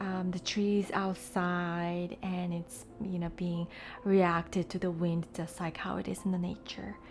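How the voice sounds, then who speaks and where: With music in the background, a soft-spoken woman talks in a fairly low, calm, relaxed voice at a fairly slow pace, her intonation monotone and flat. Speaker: digital artist. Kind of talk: soft-spoken software tutorial narration. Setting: voiceover recorded over screen capture. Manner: soft-spoken, calm, relaxed.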